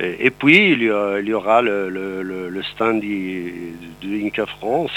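Fairly low-pitched speech from a man with music in the background. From Morocco, Atlas mountains. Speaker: president of a workers' aid institute. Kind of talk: radio interview.

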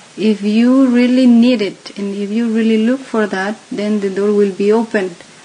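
The pace is very slow. Noticeable background noise sits behind the speech. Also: woman. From Mexico City. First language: Spanish (speaking Slovak). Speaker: interview guest. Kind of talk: interview.

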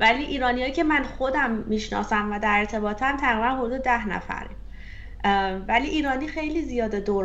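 Amid audible room echo, a woman speaks fairly quickly with ordinary pitch variation. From Iran. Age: 30s. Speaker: software engineer and career coach. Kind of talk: interview.

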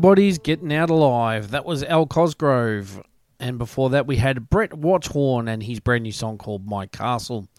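With an Australian accent, a man speaks using lively intonation. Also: medium pitch for a man, moderate pace, very clean recording, silent background. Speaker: radio host. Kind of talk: radio dj patter, introducing tracks. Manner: upbeat, chatty, friendly.

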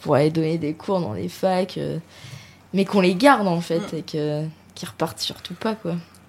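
A woman has a normal speaking voice with a fairly low pitch. She talks at a moderate pace with ordinary pitch variation. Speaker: radio panelist. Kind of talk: casual discussion.

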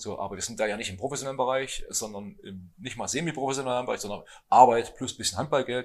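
Medium in pitch, a man's voice moves at a very fast pace. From eastern Germany (Thuringia, Hermsdorf). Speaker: handball coach. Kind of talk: casual chat. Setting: restaurant table with other guests.

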